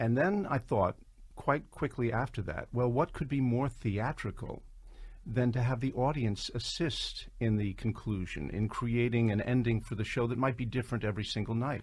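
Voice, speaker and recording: Somewhat breathy, a man talks at a moderate pace and medium pitch with ordinary pitch variation. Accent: American. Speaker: composer and writer of the musical. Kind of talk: radio interview.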